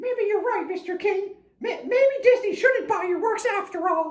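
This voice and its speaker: A cartoonish character voice, extremely high in pitch and upbeat, at a moderate pace. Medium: puppet. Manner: upbeat, excitable, squeaky-clean.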